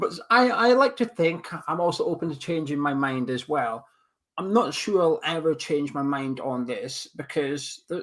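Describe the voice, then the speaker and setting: On a very clean recording with a silent background, a man with a Scottish accent speaks at a fairly high pitch with lively intonation. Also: moderate pace. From Scotland. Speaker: football podcast co-host. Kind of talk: casual chat.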